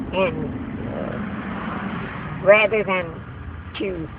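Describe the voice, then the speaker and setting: Noticeable background noise runs through the clip. A woman talks at a medium pitch. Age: 80s+. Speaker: retired judge. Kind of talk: interview answer.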